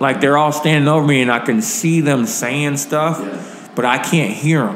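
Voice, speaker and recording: Audible room echo and a light layer of background noise are present in this clip. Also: man. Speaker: podcast guest. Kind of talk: interview answer, storytelling. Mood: animated, occasional laughter. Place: studio.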